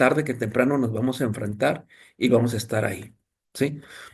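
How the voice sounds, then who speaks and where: At a moderate pace, a man with a Mexican accent speaks in a somewhat breathy voice with ordinary pitch variation. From Mexico. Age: 60s. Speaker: thanatologist and lecturer. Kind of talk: lecture. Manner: halting, with many fillers.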